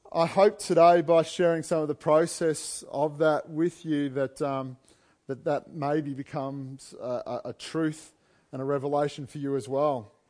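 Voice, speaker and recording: A man with a fairly high pitch speaks at a fairly slow pace with fairly even intonation. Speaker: preacher. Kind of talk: sermon. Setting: church. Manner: humorous, self-deprecating.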